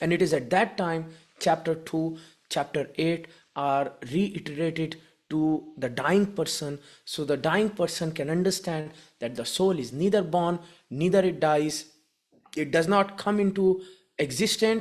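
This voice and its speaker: The speaker, with a non-native accent, talks at a fairly slow pace. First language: not English. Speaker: spiritual care educator. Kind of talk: lecture.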